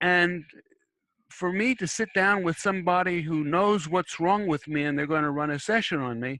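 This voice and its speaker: Using a bright, sharp tone and a high pitch, a man talks at a moderate pace. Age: 70s. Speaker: discussion moderator, spiritual counselor. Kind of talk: online group discussion. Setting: online meeting. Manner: halting, many repetitions and false starts.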